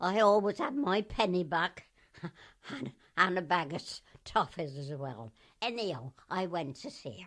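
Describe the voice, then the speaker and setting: In a Gloucestershire accent, a woman with a fairly low pitch speaks at a fairly slow pace, her pitch swinging very widely and her loudness in big swings, with long, frequent pauses over a quiet background. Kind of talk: oral history interview answer. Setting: radio interview recording.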